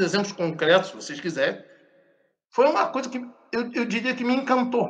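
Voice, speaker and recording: A raised, projected voice with a bright, sharp tone carries lively intonation. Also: man. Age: 60s. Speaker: professor of Buddhist philosophy. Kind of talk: interview.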